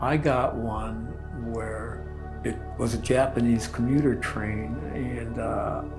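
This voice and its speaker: A man with an American accent at a very slow pace, music in the background. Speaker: mental health therapist and remote viewing practitioner. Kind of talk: interview answer, personal storytelling. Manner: soft-spoken, deliberate, thoughtful, sincere.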